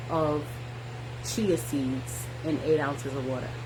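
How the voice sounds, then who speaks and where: A soft-spoken woman at a very slow pace, with audible room echo and noticeable background noise. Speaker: wellness vlogger. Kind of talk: personal vlog monologue. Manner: hesitant, with fillers.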